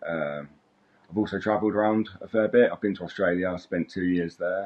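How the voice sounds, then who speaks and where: A man with a British accent talks at a fairly quick pace in a fairly low pitch, his intonation fairly even, over noticeable background noise. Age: 30s. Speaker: roofer. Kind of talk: job interview self-introduction. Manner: hesitant, many fillers.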